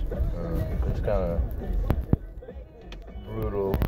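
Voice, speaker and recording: Clear music plays behind a man while he talks. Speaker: passenger vlogger. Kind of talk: casual vlog chat. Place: car. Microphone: phone near.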